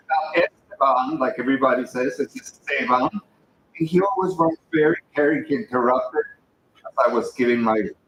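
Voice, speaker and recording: Lively intonation marks a man with a fairly high pitch and a slight Mexican accent, heard in a dry, close sound with no echo. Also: moderate pace. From Mexico. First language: Spanish. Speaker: memorial speaker. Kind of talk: eulogy.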